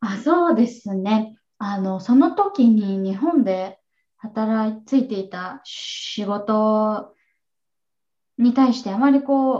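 A woman talks at a very slow pace in a fairly high pitch with ordinary pitch variation. Her tone is dark, mellow and somewhat breathy, and her loudness swings a lot. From Japan, Kanagawa. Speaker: online English teacher. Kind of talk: interview.

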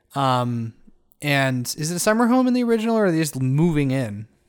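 At a fairly quick pace, the speaker uses a playful, animated tone in a very clean recording with a silent background. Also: man. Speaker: co-host. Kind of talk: casual comedic podcast banter. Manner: playful, animated, riffing.

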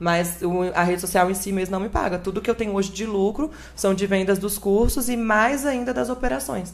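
Music is heard behind the speaker. She is a woman with a medium pitch and ordinary pitch variation. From northern Espírito Santo, Brazil. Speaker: content creator and model. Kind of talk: casual podcast interview.

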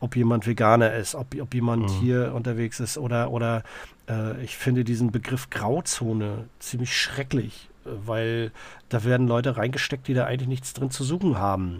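A man's plain, everyday voice at a medium pitch and moderate pace, fairly even in intonation, on a very clean recording with a silent background. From Greifswald, northeastern Germany. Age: 40s. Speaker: social worker and punk singer. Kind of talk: casual interview chat.

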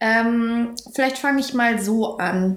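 Audible room echo surrounds a woman speaking in a fairly high voice. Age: 20s. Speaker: university student. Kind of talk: casual chat.

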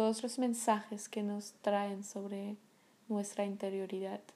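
A woman's medium-pitched voice, dark and mellow in tone, with monotone, flat intonation. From France, Paris. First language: French (speaking Spanish). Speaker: podcast host, meditation guide. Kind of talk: casual monologue. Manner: hesitant, many fillers.

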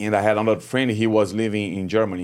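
A man with a Brazilian accent is heard on a very clean recording with a silent background. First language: Portuguese. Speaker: Muay Thai fighter and coach. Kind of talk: casual interview chat. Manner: halting, broken English.

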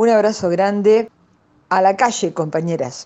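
Her intonation lively, a woman with a Rioplatense accent speaks at a fairly slow pace in a dark, mellow tone. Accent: Argentine Rioplatense Spanish. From Argentina, Buenos Aires province. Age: 70s. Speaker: retired psychologist. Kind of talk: interview. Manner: halting, many fillers.

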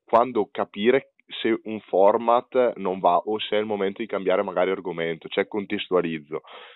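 In an ordinary speaking voice, a man with a fairly low pitch talks at a fairly slow pace. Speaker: podcast host. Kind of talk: interview.

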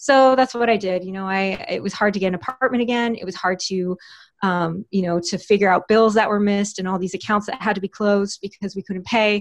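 A woman with an American accent talks at a fairly quick pace in an ordinary speaking voice, her pitch medium. Her intonation stays fairly even, and the background is quiet. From Texas. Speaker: writer and podcast host. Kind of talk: interview.

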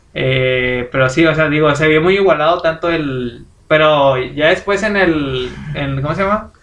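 At a fairly slow pace, a man speaks in a normal speaking voice, fairly high in pitch with ordinary pitch variation. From Mexico. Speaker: podcast co-host. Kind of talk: casual chat.

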